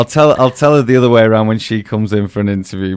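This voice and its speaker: In a very clean recording with a silent background, a man with a Manchester accent talks at a fairly low pitch with ordinary pitch variation. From northern England, near Manchester. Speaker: radio host. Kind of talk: casual radio interview. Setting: radio studio. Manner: animated.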